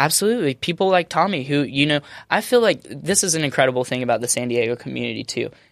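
A man talks at a very fast pace with a fairly high pitch. His intonation is lively. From Alabama. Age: 20s. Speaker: chef. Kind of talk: casual chat. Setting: studio. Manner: energetic.

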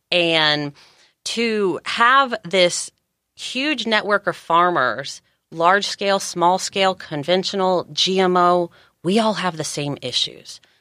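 A woman with an American accent speaks at a very slow pace in a bright, sharp tone. The recording is very clean, with a silent background. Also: medium pitch for a woman, dry, close sound with no echo. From Georgia, US South. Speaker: farm organization director and farmer. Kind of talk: podcast interview.

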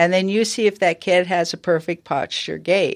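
A normal speaking voice at a moderate pace over a quiet background. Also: woman. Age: 60s. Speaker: professional golfer. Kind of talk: casual chat.

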